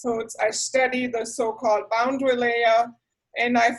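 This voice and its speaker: A woman speaks with a German accent. Her voice sits fairly high in pitch. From southwest Germany, rural area near Heidelberg and Stuttgart. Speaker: university professor. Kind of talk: orientation talk.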